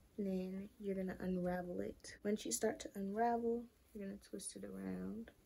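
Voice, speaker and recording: A woman is soft-spoken. She talks at a moderate pace. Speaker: beauty youtuber. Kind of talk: tutorial.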